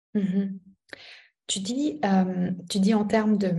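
A woman's somewhat breathy, dark and mellow voice at a medium pitch and fairly slow pace, with audible room echo. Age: 30s. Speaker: business coach. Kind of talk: casual chat.

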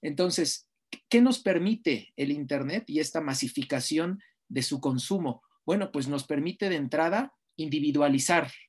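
A man with a plain, everyday voice speaks at a fairly slow pace with lively intonation. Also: fairly high pitch for a man. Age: 30s. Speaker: sports journalist and lecturer. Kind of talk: interview.

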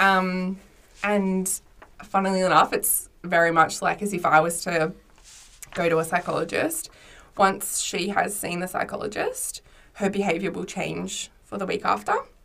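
At a moderate pace, a woman talks in an Australian accent. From Australia, Mornington Peninsula, Victoria. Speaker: widowed mother. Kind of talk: casual chat. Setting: studio.

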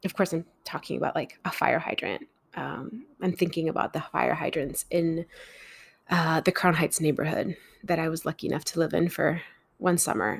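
Over a silent background in a very clean recording, a woman speaks at a moderate pace in a calm, fairly low voice with vocal fry. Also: ordinary pitch variation. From Mexico. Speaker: podcast host. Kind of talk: reflective solo narration.

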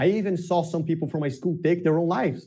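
Speaking with a Portuguese accent, a man has a dark, mellow tone that is somewhat breathy. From southern Brazil, Porto Alegre. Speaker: self-development content creator. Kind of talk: casual interview chat.

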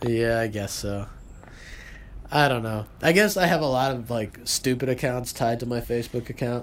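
A man talks with an ordinary speaking voice. His pitch is medium, with ordinary pitch variation. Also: moderate pace. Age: 20s. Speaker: podcast co-host. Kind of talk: casual chat.

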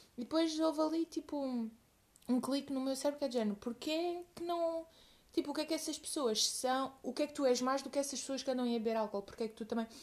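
A woman's high voice races at a very fast pace, its pitch varying in an ordinary way. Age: 20s. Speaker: podcast co-host. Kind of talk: casual chat.

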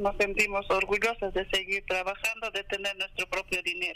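This man's voice has a high pitch. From Peru, Apurímac. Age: 50s. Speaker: farmer. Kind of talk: interview.

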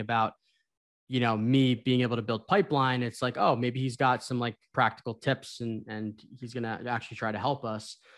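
Very clean and silent in the background, the recording captures a man with a plain, everyday voice talking at a medium pitch and a fairly quick pace. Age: 20s. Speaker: sales account executive. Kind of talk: casual chat.

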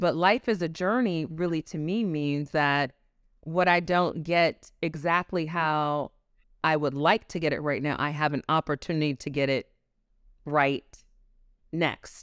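A woman with a very deep, low pitch in an American accent, ordinary pitch variation and a fairly slow pace, in a dry, close sound with no echo on a very clean recording with a silent background. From Newark, New Jersey. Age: 40s. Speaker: fashion and lifestyle expert. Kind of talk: interview conversation.

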